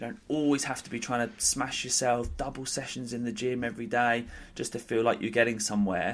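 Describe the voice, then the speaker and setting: Here a man talks at a fairly quick pace, medium in pitch with ordinary pitch variation. He has a normal speaking voice. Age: 30s. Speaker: fitness and nutrition coach. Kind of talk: casual chat.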